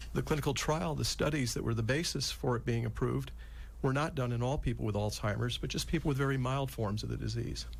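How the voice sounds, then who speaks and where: Very fast male speech with audible room echo. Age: 60s. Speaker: physician and Alzheimer's expert. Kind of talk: radio interview explanation.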